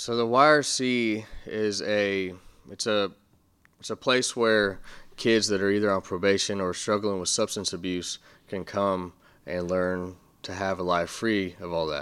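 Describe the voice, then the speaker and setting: On a very clean recording with a silent background, a man with a plain, everyday voice speaks at a fairly slow pace and fairly low pitch with ordinary pitch variation. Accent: American. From Texas Panhandle, Amarillo. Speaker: youth recovery coach. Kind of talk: interview. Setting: office.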